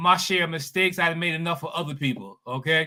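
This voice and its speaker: The man's tone is bright and sharp. He talks at a fairly quick pace. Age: 70s. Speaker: spiritual bodybuilding coach. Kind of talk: testimony. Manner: halting, repeats words.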